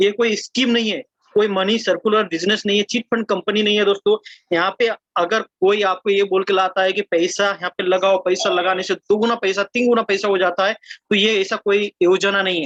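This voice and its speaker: A man speaks at a high pitch. The sound is dry and close with no echo. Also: moderate pace. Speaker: network marketing presenter. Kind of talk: sales pitch. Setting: video call.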